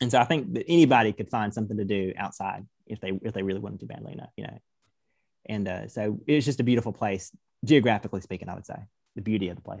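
Speaking at a very fast pace with an American accent, a man shows vocal fry, a fairly low pitch, ordinary pitch variation and big swings in loudness. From Georgia, US South. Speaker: college student. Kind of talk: casual chat.

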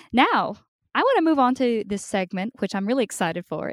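A woman's voice with very wide pitch swings, dry and close with no echo. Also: very clean recording, silent background. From Australia. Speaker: podcast host. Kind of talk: interview. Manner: animated.

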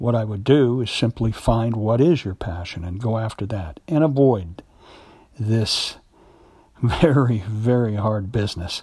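With a dark, mellow tone and a somewhat breathy quality, a man of medium pitch speaks at a moderate pace with ordinary pitch variation. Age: 60s. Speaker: actor and acting podcast host. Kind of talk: solo monologue podcast. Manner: halting, many fillers.

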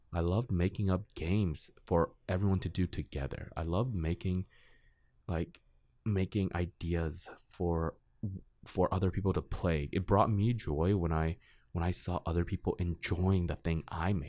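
On a very clean recording with a silent background and a dry, close sound with no echo, a man speaks at a very deep, low pitch. His tone is dark and mellow, and his intonation fairly even. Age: 20s. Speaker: college student and student board chairman. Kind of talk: casual interview. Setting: studio.

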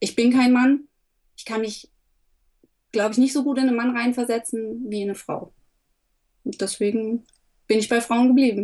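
A woman with a dark, mellow tone and fairly high pitch speaks at a moderate pace in a monotone, flat delivery, with big swings in loudness and long, frequent pauses. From Upper Franconia, Germany. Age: 30s. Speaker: photographer. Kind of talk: interview.

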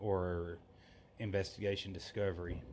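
A man speaks with an American accent. His pitch is fairly low and his intonation monotone and flat. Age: 20s. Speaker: religious podcaster. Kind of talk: religious monologue.

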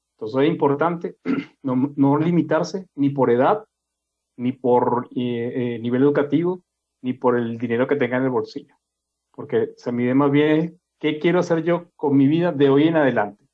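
Speaking at a moderate pace, a man with a plain, everyday voice sits fairly high in pitch and uses ordinary pitch variation. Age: 50s. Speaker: podcast host. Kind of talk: casual chat.

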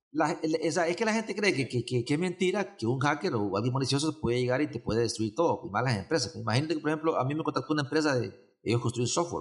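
Somewhat breathy and fairly high-pitched, a man rattles along very fast with hardly any pauses and lively intonation. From Honduras, San Pedro Sula. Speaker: event organizer, cybersecurity summit. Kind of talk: casual interview. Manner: halting, many repetitions and fillers.

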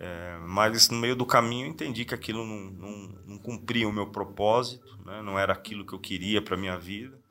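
Music in the background behind a man, his pitch varying in an ordinary way. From São Paulo state (São Paulo city, then Sorocaba). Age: 40s. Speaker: politician. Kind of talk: interview. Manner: hesitant, repeats words.

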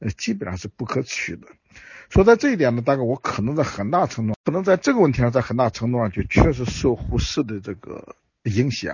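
His voice carries a somewhat breathy quality. The man's intonation is lively. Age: 60s. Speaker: historian. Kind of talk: interview. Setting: remote via phone.

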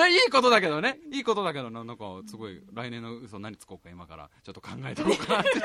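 A man talks at a very fast pace in an animated tone, his loudness swinging widely. Noticeable background noise sits under the recording. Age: 20s. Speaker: radio podcast host, musician. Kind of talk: casual chat.

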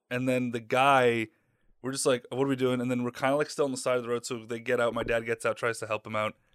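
In a very clean, silent recording with a dry, close sound and no echo, a man with an American accent speaks very fast at a medium pitch in a monotone, flat delivery. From mid-Michigan, US. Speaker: podcast co-host. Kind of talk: casual chat.

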